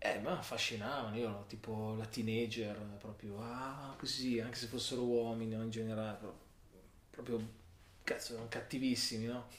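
Amid noticeable background noise and audible room echo, a man speaks in a flat, monotone voice at a medium pitch, leaving long, frequent pauses. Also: moderate pace. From Milan, Italy. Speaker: character designer. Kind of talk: casual interview chat.

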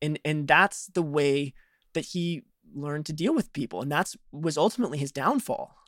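In a normal speaking voice, a man with an American accent speaks at a moderate pace and a fairly high pitch with ordinary variation, the sound dry and close with no echo. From Chicago, US Midwest. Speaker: journalist and podcast host. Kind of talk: interview conversation.

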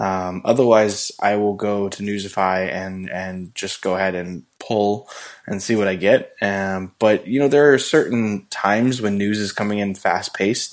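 An unremarkable speaking voice from a man with a fairly low pitch, at a fairly slow pace with fairly even intonation and hardly any pauses, in a very clean recording over a silent background. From Southern California. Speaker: podcast co-host. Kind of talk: casual chat.

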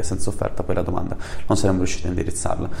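The speech is very fast with fairly even intonation. Noticeable background noise and audible room echo fill the recording. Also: man. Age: 20s. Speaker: startup founder. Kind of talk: interview.

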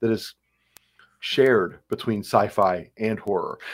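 On a very clean recording with a silent background, a man with a Midwestern American accent talks at a fairly slow pace and a medium pitch. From Ohio, Cleveland. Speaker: college English professor. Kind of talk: interview conversation. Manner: halting, many fillers.

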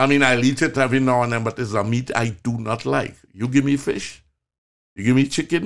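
Speaking at a fairly quick pace with a Trinidadian accent, a man keeps a medium pitch and fairly even intonation. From Trinidad, rural. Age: 70s. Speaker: physician, medical show host. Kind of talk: casual chat.

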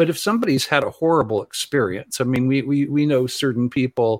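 A man's ordinary speaking voice with an American accent, fairly high in pitch with ordinary pitch variation, dry and close with no echo. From Southern California. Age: 60s. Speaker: ufology teacher and singer-songwriter. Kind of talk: interview.

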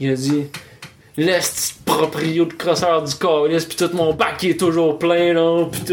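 A man with a Quebec accent speaks at a high pitch. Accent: Québécois French. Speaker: podcast host. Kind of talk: casual chat. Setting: home studio.

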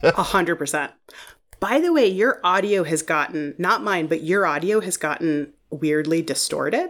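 A woman with an American accent and a fairly low pitch speaks at a moderate pace in an unremarkable speaking voice, her pitch varying in an ordinary way. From Northeast Ohio (Shaker Heights, Cleveland suburb). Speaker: TV writer. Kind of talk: casual chat. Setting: remote call.

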